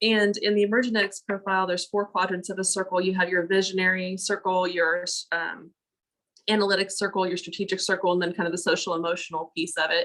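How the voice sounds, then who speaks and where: A woman's medium-pitched voice, very fast and monotone, with flat intonation. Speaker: panelist, education administrator. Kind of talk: panel discussion.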